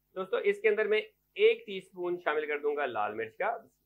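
His voice is high for a man, with big pitch swings. The man speaks at a fairly quick pace.

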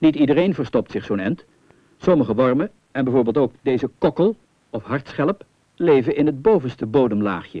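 An unremarkable speaking voice from a man, fairly high-pitched, with lively intonation at a moderate pace. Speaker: documentary narrator. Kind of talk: vintage 1970 nature-documentary voice-over, scripted, formal and authoritative. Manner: calm, didactic, with gentle wonder.

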